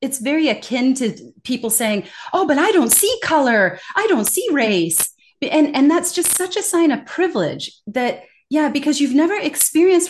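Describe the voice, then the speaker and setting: Her pitch swinging very widely, a woman with an American accent speaks at a moderate pace. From US West Coast. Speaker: corporate communication trainer. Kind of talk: interview. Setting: video call. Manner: loud.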